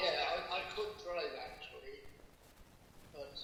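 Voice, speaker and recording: A man with a West Country accent at a moderate pace, over noticeable background noise. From Bath, England. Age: 80s+. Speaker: war veteran. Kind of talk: interview answer.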